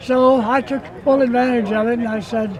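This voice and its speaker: Noticeable background noise sits under the voice. The delivery is fairly slow, with fairly even intonation. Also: man. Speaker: WWII veteran pilot. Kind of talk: interview. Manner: halting, many fillers.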